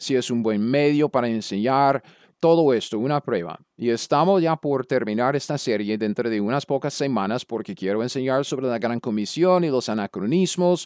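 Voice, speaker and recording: A man's medium-pitched voice with an American accent, lively intonation and a moderate pace, dry and close with no echo, over a quiet background. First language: English (speaking Spanish). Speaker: Bible teacher. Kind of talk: lecture. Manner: halting.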